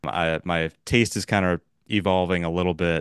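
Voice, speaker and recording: A man with a West Coast American accent speaks in a very deep, low voice. His intonation is monotone and flat, the sound is dry and close with no echo, and the background is quiet. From Los Angeles. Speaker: podcast host. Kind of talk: casual chat.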